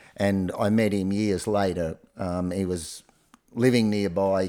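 A man with an Australian accent speaks in a dark, mellow tone, fairly low in pitch with fairly even intonation. The recording is very clean, with a silent background. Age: 60s. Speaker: retired primary school teacher. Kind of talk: casual chat.

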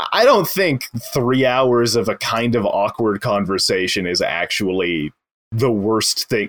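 This man has a medium-pitched, ordinary speaking voice. He talks fairly slowly with lively intonation. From Edmonton, Alberta, Canada. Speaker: guest. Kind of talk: casual chat.

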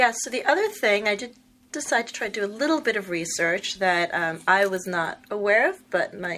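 A woman speaks at a moderate pace with an American accent and very wide pitch swings. Noticeable background noise runs underneath. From New York. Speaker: podcast co-host, interviewer. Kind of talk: interview. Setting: on location at a distillery.

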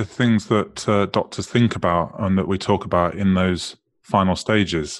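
A British accent at a moderate pace against a quiet background. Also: man. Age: 30s. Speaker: financial advisor. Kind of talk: interview. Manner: halting, many repetitions and fillers.

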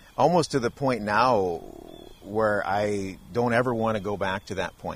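A man with an American accent has an ordinary speaking voice, a fairly low pitch, ordinary pitch variation and a fairly slow pace. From Wisconsin. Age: 40s. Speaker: reality TV contestant. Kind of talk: interview conversation. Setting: outdoors in a backyard.

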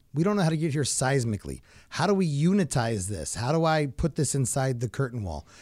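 A man speaks fairly quickly at a medium pitch, somewhat breathy, with lively intonation. The recording is very clean, with a silent background. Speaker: podcast co-host, former glazing subcontractor. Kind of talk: casual chat.

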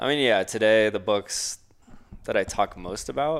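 On a very clean recording with a silent background, a man talks in a normal speaking voice at a moderate pace with ordinary pitch variation. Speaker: podcast co-host. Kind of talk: casual chat.

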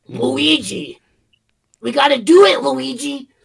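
Using a put-on character voice, a man speaks high and at a fairly slow pace. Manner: excited, urgent.

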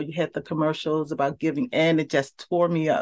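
A fairly low female voice with a slight Southern US accent, moderate pace and fairly even intonation over a quiet background. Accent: slight Southern rhythm in speech. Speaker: university professor and researcher. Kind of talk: casual interview chat.

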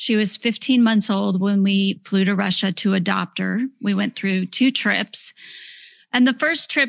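At a fairly slow pace, a woman speaks at a medium pitch with ordinary pitch variation, somewhat breathy, in a dry, close sound with no echo and a quiet background. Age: 40s. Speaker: author. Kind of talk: testimony.

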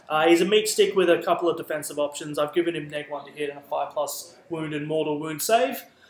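A man with an Australian accent, fairly high pitch, ordinary pitch variation, a very fast pace, hardly any pauses and big swings in loudness, with noticeable background noise. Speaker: guest, competitive tabletop gamer. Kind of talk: casual banter. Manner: jokey, self-deprecating.

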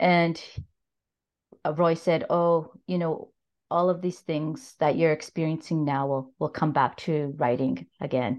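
Her pitch is very deep and low for a woman. She uses ordinary pitch variation. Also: fairly slow pace. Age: 50s. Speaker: novelist. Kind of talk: casual chat. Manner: halting.

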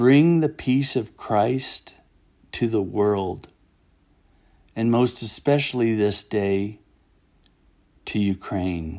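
In a very clean recording with a silent background, a man with an American accent speaks at a very slow pace and medium pitch, his tone dark and mellow, with ordinary pitch variation and long, frequent pauses. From United States. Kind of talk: fervent prayer, spoken aloud to God in a solemn, pleading tone; personal blog reading. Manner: earnest, slow and reverent, with a heartfelt, aching tone in the prayer.

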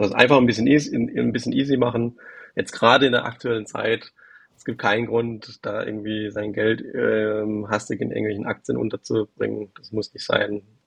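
A man talks at a moderate pace. His voice is fairly low, with fairly even intonation. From Baden, south of Karlsruhe. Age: 30s. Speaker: private investor. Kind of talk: casual interview. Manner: hesitant, many fillers.

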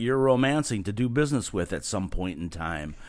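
Lively intonation marks this man's unremarkable speaking voice, delivered at medium pitch and a moderate pace with an American accent. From California. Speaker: marketing company owner. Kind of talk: podcast interview.

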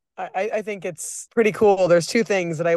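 A woman with an American accent and an unremarkable speaking voice at a moderate pace, over a quiet background. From Nebraska. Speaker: cocktail bar owner. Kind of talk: interview.

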